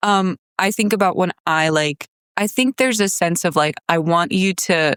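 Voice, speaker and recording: An unremarkable speaking voice from a woman at a moderate pace, with ordinary pitch variation, very even loudness and a dry, close sound with no echo. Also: medium pitch for a woman. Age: 20s. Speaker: nanny, host's daughter. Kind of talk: casual chat.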